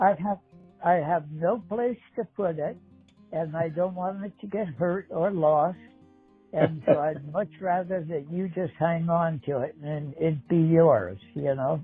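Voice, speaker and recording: Music plays behind a man whose high-pitched voice moves at a fairly slow pace with ordinary pitch variation. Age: 80s+. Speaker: painter. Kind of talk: casual conversation about his artwork.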